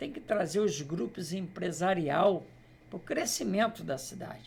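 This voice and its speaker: A man talks very slowly in a high voice with lively intonation. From Brazil, Queimados area (Rio de Janeiro state). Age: 60s. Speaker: local politician. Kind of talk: interview.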